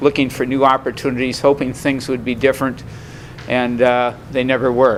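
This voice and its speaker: Noticeable background noise is heard as a man speaks at a moderate pace. His medium pitch carries a monotone, flat intonation. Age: 70s. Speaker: recovery meeting speaker. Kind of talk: testimony. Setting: meeting with audience. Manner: halting, many fillers.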